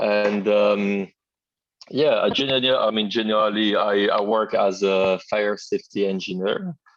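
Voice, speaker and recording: A man with a French accent at a fairly slow pace. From Martinique, then southeast France. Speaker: fire safety engineer, martial arts practitioner. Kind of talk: interview. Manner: halting, many fillers.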